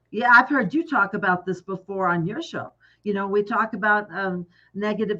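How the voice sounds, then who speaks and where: A woman's medium-pitched voice with a bright, sharp tone and an American accent. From Texas. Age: 60s. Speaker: life coach. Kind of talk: casual chat.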